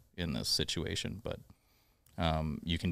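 Delivered at a moderate pace, this man's voice sits at a very deep, low pitch with vocal fry. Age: 30s. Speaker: musician. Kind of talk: casual chat. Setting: studio. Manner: halting.

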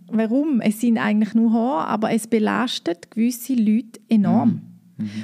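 A woman speaks at a fairly slow pace with a fairly high pitch and a dark, mellow tone. Her voice is somewhat breathy, with ordinary pitch variation. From eastern Switzerland, St. Gallen. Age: 30s. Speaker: business co-founder. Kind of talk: interview.

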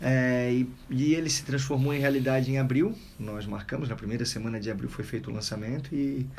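A man with a medium pitch and ordinary pitch variation speaks fairly quickly, with noticeable noise in the background. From Itajaí, Santa Catarina, southern Brazil. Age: 30s. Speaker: surfer and author. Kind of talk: casual radio interview. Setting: radio studio.

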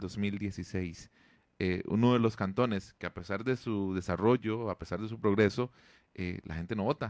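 Against a quiet background, a man talks fairly slowly in a normal speaking voice with ordinary pitch variation. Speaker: radio host. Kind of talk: radio interview.

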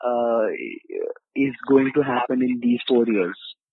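A man speaks at a medium pitch. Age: 20s. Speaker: podcast host. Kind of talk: casual chat.

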